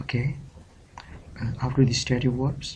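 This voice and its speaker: With a Pakistani accent, a man of medium pitch speaks at a fairly slow pace in a monotone, flat intonation. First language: Urdu. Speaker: English teacher. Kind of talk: tutorial. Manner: hesitant, frequent fillers (uh, okay).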